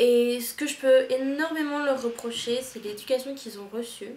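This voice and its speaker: Amid audible room echo, a woman with a strong Toulouse accent speaks at a moderate pace in a high pitch. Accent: strong southern French (Toulouse). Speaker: au pair vlogger. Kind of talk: casual vlog monologue. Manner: animated, casual.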